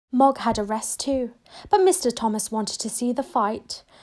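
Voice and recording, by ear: Her tone is slightly mellow, and her pitch is fairly high with ordinary variation. The woman speaks at a fairly slow pace.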